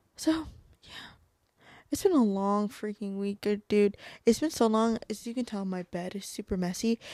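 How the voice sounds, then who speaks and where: Speaking at a moderate pace, a woman with a fairly high pitch and a dark, mellow tone comes through dry and close with no echo on a very clean recording with a silent background. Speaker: podcast host, college student. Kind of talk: casual chat. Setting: at home in bed at night. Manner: monotone; low energy.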